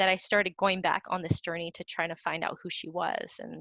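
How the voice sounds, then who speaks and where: Spoken at a fairly quick pace, this is a normal speaking voice with an American accent. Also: woman. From US, Vietnamese American. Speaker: playwright. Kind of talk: panel discussion.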